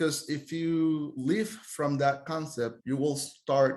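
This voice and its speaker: A man's fairly high-pitched voice with a Costa Rican accent and ordinary pitch variation. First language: Spanish. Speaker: tour guide. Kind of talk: podcast interview.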